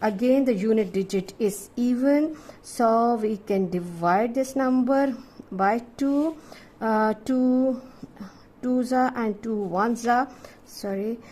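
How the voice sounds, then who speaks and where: A woman speaks very slowly in a fairly high voice with ordinary pitch variation. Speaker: maths teacher. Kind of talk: tutorial.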